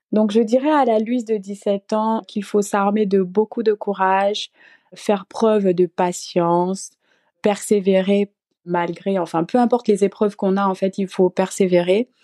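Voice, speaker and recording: In a quiet background with a dry, close sound and no echo, a woman of medium pitch speaks at a fairly slow pace in a dark, mellow tone with fairly even intonation. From Gabon. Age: 20s. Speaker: recent master's graduate and mother. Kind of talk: interview.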